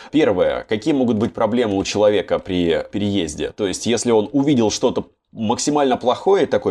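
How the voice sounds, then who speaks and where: A man with a plain, everyday voice and medium pitch talks at a fairly quick pace. His intonation is lively. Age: 20s. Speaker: podcast host. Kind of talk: casual chat.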